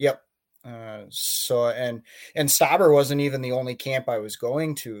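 In a very clean recording with a silent background, a man with an American accent uses an ordinary speaking voice at medium pitch and fairly even intonation. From Minnesota. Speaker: hockey goalie. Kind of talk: casual chat.

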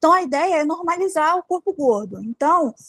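A woman speaks at a moderate pace with very wide pitch swings, her voice dry and close with no echo. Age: 20s. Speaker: debut novelist and plus-size fashion influencer. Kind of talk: casual chat.

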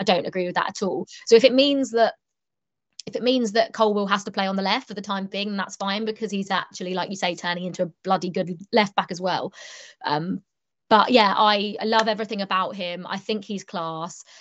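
A woman with a plain, everyday voice, medium pitch, ordinary pitch variation and a fairly quick pace. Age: 20s. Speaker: sports TV reporter and presenter. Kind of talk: casual interview chat.

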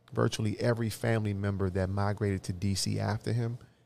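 With a dark, mellow tone, a man speaks at a fairly quick pace and keeps his intonation fairly even. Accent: American. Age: 40s. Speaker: community organizer and former local politician. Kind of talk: casual interview. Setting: studio.

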